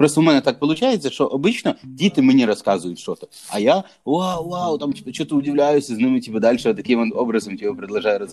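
Very wide pitch swings mark a man's dark, mellow tone as he talks at a very fast pace. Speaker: barber. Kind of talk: casual chat. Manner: casual, filler-heavy.

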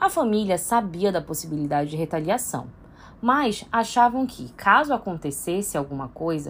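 Speaking at a medium pitch, a woman lets her voice swing very widely in pitch. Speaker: history column presenter. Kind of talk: scripted column reading.

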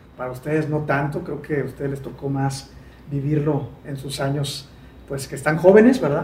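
A man with a fairly high voice talks at a fairly quick pace, with noticeable background noise and audible room echo. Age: 40s. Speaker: sales expert and author. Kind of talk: interview.

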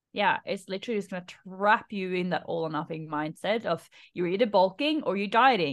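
A woman with an unremarkable speaking voice talks at a fairly quick pace, her medium pitch carried by lively intonation. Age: 30s. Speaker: female empowerment coach. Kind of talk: casual chat. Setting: video call.

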